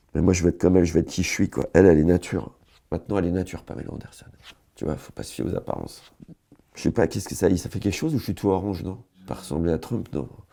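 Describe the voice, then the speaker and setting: In a very clean recording with a silent background, a man with a very deep, low pitch, a dark, mellow tone and vocal fry talks at a very fast pace, broken by long, frequent pauses. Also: ordinary pitch variation. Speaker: comedian, online humorist. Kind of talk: casual comic monologue to camera. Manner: rambling, free-flowing.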